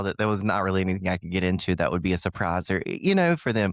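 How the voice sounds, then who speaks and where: A man with lively intonation, on a very clean, dry and close recording with no echo and a silent background. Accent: Southern US. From Southern US. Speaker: Southern humorist, storyteller. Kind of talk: podcast guest, casual conversation.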